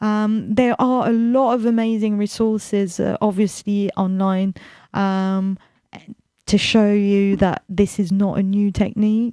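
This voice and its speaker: On a very clean recording with a silent background, a woman speaks at a medium pitch and fairly slow pace in a dark, mellow tone with monotone, flat intonation. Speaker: radio host. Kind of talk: radio talk. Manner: loud.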